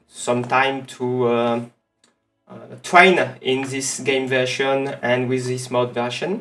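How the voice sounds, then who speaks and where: Over music in the background, a man with a strong French accent talks in a monotone, flat intonation. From France. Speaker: streamer. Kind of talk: gameplay livestream commentary. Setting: livestream. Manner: halting, many fillers. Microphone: some echo.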